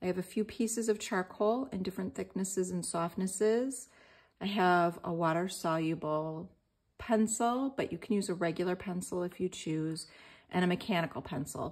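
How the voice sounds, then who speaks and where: A woman at a moderate pace, with ordinary pitch variation and a quiet background. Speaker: art journaling teacher. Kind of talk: tutorial.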